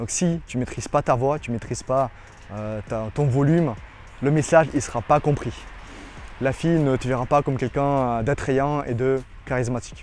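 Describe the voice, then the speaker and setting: A man with a non-native accent speaks at a medium pitch, leaving long, frequent pauses. Music plays in the background. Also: fairly even intonation, moderate pace. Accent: foreign accent in French. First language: not French (speaking French). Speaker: dating coach. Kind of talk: tutorial. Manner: halting.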